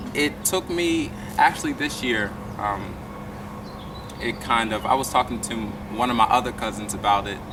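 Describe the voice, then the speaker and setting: This man talks at a moderate pace and a medium pitch with ordinary pitch variation, leaving long, frequent pauses over noticeable background noise. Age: young. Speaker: violinist and incoming college student. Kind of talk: interview. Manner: hesitant with many fillers.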